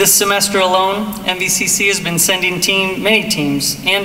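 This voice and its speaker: A man with a high pitch, fairly even intonation and a moderate pace, over light background noise. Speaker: college president, ceremony host. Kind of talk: formal ceremony speech. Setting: live ceremony with audience at podium. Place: hall. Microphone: podium.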